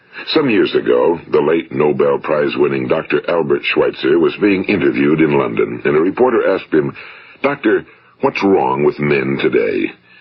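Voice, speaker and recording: There is noticeable background noise. A man with an American accent speaks at a moderate pace. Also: very even loudness. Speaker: radio broadcaster and motivational speaker. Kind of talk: motivational speech / self-help recording. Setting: vintage 1950s studio recording.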